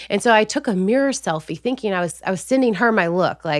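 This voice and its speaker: On a very clean recording with a silent background and a dry, close sound with no echo, a woman talks at a very fast pace with lively intonation. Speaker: author, influencer and former nurse. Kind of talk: casual interview. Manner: excited, enthusiastic.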